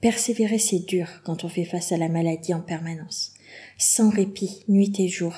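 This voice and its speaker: A woman speaks at a fairly slow pace in a medium pitch, her somewhat breathy voice dark and mellow in tone with fairly even intonation, on a very clean recording with a silent background. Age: 40s. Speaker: podcast host, kidney patient. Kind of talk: personal monologue.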